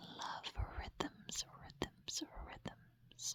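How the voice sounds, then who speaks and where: A woman is speaking. She is whispering. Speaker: dancer. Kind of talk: ASMR get-to-know-you Q&A. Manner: whispered.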